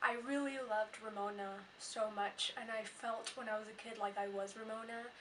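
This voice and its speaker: A woman's fairly high-pitched voice, monotone and flat in intonation, at a moderate pace. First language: not English. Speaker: book vlogger. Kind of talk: casual vlog monologue.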